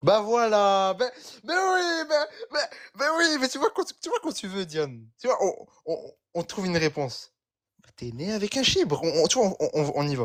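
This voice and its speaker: Speaking at a moderate pace with long, frequent pauses, a man with a high pitch makes very wide pitch swings and big swings in loudness on a very clean recording with a silent background. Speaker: religious debater in a live debate. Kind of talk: heated debate. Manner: halting.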